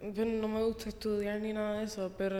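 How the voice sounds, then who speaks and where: A woman's medium-pitched voice, flat and monotone in intonation, over noticeable background noise. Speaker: host's younger sister. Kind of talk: casual chat. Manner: soft-spoken.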